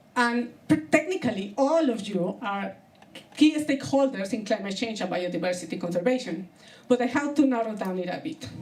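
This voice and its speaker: Fairly quick speech with very wide pitch swings, audible room echo and noticeable background noise. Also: woman, fairly high pitch for a woman. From Colombia. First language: Spanish. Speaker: comedian. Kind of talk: stand-up. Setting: stage with audience.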